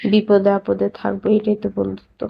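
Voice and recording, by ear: A woman speaks with vocal fry, a slightly husky edge and monotone, flat intonation. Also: medium pitch for a woman, fairly quick pace.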